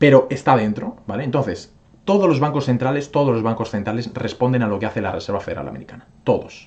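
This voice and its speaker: Medium in pitch, a man speaks at a very fast pace with lively intonation. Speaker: crypto YouTuber. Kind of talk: casual video commentary, market analysis. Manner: filler-heavy, frequent ¿vale? and hesitations.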